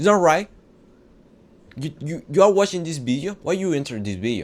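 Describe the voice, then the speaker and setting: A man speaks at a fairly quick pace with a strong non-native accent, his pitch swinging very widely. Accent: non-native English, heavy. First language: not English. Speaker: self-improvement vlogger. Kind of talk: casual motivational talk. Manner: halting, repetitive.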